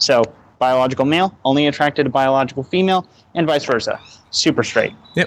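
At a very fast pace broken by long, frequent pauses, a man talks at a fairly high pitch with ordinary pitch variation and very even loudness. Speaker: caller. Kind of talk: casual chat. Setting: voice chat call.

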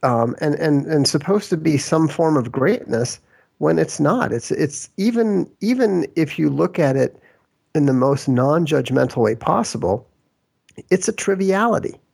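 A voice with an American accent moves at a moderate pace with very wide pitch swings and very even loudness, in a very clean recording with a silent background. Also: man, fairly high pitch for a man. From Minnesota, US Midwest. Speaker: author and game designer. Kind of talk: interview.

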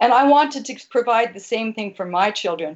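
Lively intonation in a woman's fairly high-pitched, a plain, everyday voice, at a moderate pace. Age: 60s. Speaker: caller. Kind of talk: heated debate. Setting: phone call.

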